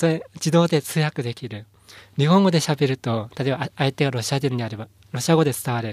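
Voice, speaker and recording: A man speaks at a fairly quick pace with ordinary pitch variation. His loudness swings widely in a dry, close sound with no echo. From Inner Mongolia, China. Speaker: company founder. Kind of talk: interview. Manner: halting, many fillers.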